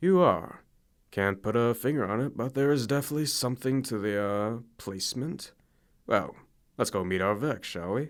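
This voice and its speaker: Doing a gravelly put-on character voice at medium pitch, a man speaks at a moderate pace with lively intonation in a very clean recording with a silent background. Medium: read story. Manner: gruff, clipped.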